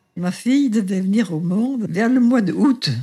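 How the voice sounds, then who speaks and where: A woman's fairly high, somewhat breathy voice with a dark, mellow tone and lively intonation. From France, Saint-Étienne. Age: 90s. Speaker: great-grandmother sharing birth memories. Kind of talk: testimony. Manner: halting.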